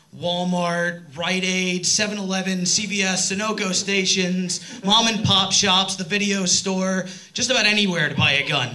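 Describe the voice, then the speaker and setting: Over noticeable background noise and audible room echo, a man with an American accent projects a raised, high-pitched voice at a moderate pace with fairly even intonation. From New York area. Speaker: stand-up comedian. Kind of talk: stand-up. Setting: stage with audience. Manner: loud.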